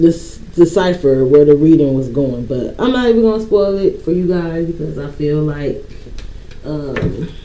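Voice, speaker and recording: The voice is soft-spoken and moves at a moderate pace. Noticeable background noise runs underneath. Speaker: tarot reader. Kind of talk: tarot reading. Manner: casual.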